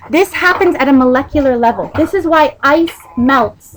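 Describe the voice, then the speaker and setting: Noticeable background noise sits behind a woman with an American accent. She speaks at a high pitch with lively intonation. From United States. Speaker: Islamic lecturer. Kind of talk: religious talk to women's gathering. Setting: community event hall. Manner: loud; animated.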